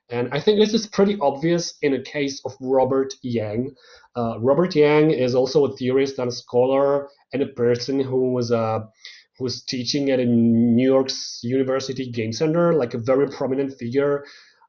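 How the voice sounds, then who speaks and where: A man with a non-native accent speaks at a moderate pace and medium pitch, with ordinary pitch variation. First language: not English. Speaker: guest lecturer on games and culture. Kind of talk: online lecture. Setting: online video lecture. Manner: halting, many fillers and repetitions.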